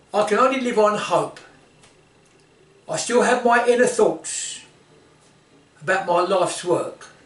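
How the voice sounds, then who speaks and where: A man's extremely high-pitched voice at a fairly slow pace, with ordinary pitch variation, long and frequent pauses, noticeable background noise and audible room echo. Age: 80s+. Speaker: martial arts instructor. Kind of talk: informal talk to camera. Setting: indoor office. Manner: halting.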